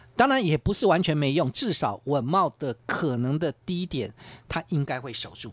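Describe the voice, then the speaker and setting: The sound is dry, with no echo. The speech moves at a moderate pace. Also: man. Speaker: stock market analyst. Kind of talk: radio market commentary. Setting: radio studio. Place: studio.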